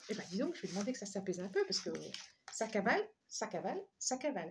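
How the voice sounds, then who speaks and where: A woman talks at a very fast pace with long, frequent pauses, lively intonation and medium pitch. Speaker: tarot reader and energy healer. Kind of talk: tarot reading guidance. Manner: halting, many repetitions.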